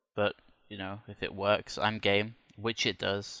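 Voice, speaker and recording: The very clean recording, with a silent background, captures a man with a British accent and a fairly low pitch. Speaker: flight simulator YouTuber. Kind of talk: tutorial. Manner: casual with many fillers.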